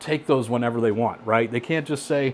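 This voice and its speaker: The man's voice moves through ordinary pitch variation. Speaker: casino gambling tips presenter. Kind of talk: educational tutorial. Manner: fast; casual, conversational.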